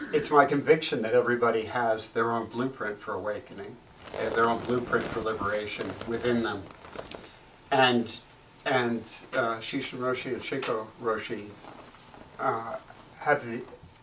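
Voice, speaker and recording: Over noticeable background noise, a man at a medium pitch speaks with fairly even intonation and long, frequent pauses. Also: moderate pace. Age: 60s. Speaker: Zen meditation teacher. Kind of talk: dharma talk. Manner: halting, with fillers; gentle.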